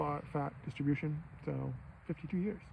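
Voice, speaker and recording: A man's fairly high-pitched voice comes through clearly audible background noise. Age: 50s. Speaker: vlogger. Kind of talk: casual monologue. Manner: rambling, halting.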